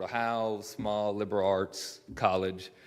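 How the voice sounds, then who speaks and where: A man speaks in a Kentucky accent at a fairly low pitch, monotone and flat. The recording is very clean, with a silent background. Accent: rural Kentucky twang. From Kentucky (Mount Sterling, east of Lexington). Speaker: local business owner. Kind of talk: public address at a city council meeting. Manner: hesitant, many fillers.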